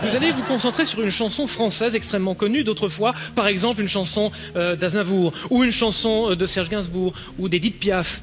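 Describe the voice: A man with a northern French accent talks at a fairly quick pace in a high pitch. Noticeable background noise is present. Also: ordinary pitch variation.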